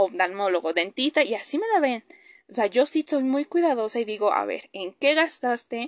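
Her high voice swings very widely in pitch, with a dry, close sound free of echo and a quiet background behind the woman. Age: 20s. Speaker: podcast host. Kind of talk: personal monologue. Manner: hesitant with many fillers.

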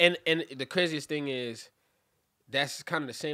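A man with a Brooklyn accent talks at a fairly quick pace in a bright, sharp tone with ordinary pitch variation. The recording is very clean, with a silent background. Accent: New York (Brooklyn). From Brooklyn, New York (Cypress Hills / East New York). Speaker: rapper. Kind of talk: casual interview.

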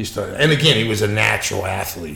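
Fairly quick speech from a man, audible room echo and noticeable background noise around him. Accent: American. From Pittsburgh, US. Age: 60s. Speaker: martial arts instructor. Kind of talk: casual interview chat. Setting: in person.

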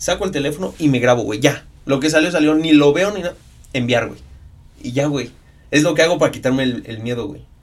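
With a normal speaking voice, a man talks at a fairly quick pace and a fairly high pitch, showing ordinary pitch variation and big swings in loudness. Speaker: sports photographer and triathlete. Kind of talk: casual chat.

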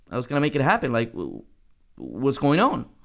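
The voice has vocal fry and moves at a very fast pace. The recording is very clean, with a silent background. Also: man. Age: 30s. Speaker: network marketing coach and podcast host. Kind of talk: solo podcast monologue. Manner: animated.

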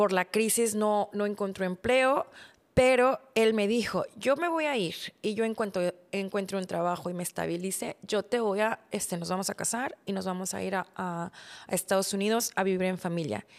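In a very clean recording with a silent background, a woman with an unremarkable speaking voice talks at a moderate pace and medium pitch with ordinary pitch variation. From Mexico, Monterrey area. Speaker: podcast host. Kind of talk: personal storytelling monologue.

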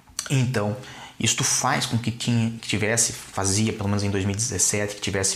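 A man's fairly low voice, fairly slow and fairly even in intonation, against noticeable background noise. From Brazil, Curitiba. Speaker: lawyer. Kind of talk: interview.

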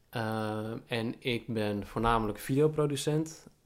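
A normal speaking voice from a man, medium in pitch, with ordinary pitch variation. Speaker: podcast co-host. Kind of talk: casual chat.

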